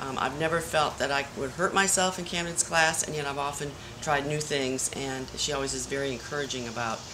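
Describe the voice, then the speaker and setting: Words come out at a fairly quick pace. Behind them sits noticeable background noise. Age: 60s. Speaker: yoga student. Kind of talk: testimonial.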